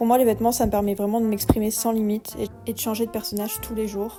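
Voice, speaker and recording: A woman's fairly high, monotone voice with flat intonation at a fairly quick pace, with music in the background. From Bordeaux, France. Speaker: YouTuber. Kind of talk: personal vlog voice-over narration. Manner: cool, somewhat detached.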